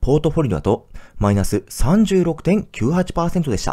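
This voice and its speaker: High-pitched male voice with a dark, mellow tone and very wide pitch swings, on a very clean recording with a silent background. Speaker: personal finance YouTuber. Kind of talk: educational explainer. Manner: clear, explanatory.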